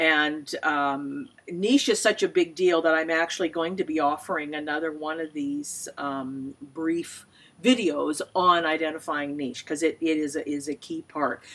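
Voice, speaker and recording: A woman's very deep, low voice at a fairly slow pace, with ordinary pitch variation, on a very clean recording with a silent background. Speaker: small business consultant. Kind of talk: tutorial. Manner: casual, with fillers.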